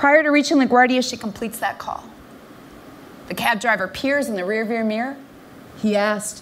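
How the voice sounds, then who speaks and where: There is noticeable background noise. A woman speaks at a fairly high pitch. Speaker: professional keynote speaker. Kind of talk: keynote speech to an audience.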